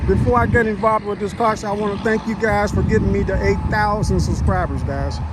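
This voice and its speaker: A man speaks at a very fast pace with hardly any pauses, his voice carrying audible room echo over noticeable background noise. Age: 60s. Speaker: car show vlogger, army veteran. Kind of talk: casual vlog walkthrough. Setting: outdoors at a car show. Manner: casual, conversational.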